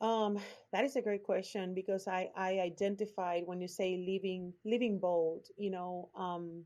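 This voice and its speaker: Against a quiet background, a woman with a Puerto Rican accent speaks at a fairly slow pace in a dark, mellow tone, medium in pitch, with fairly even intonation. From Puerto Rico. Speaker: branding strategist, former lawyer. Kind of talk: podcast interview answer. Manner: open, authentic.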